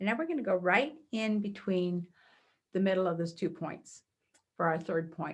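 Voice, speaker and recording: A soft-spoken woman with a medium pitch talks at a moderate pace, with ordinary pitch variation and long, frequent pauses. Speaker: energy healing practitioner. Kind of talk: guided healing exercise.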